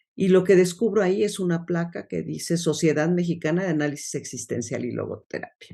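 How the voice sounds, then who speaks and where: At a moderate pace, a woman talks in a dark, mellow tone. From Mexico City. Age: 60s. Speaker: logotherapist. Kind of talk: interview.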